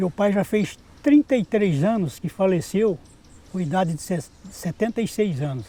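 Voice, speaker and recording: A man's high-pitched, dark, mellow voice, fairly slow, with lively intonation. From Ibitiúva, Pitangueiras, São Paulo state. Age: 60s. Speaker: folk music group member. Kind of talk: interview.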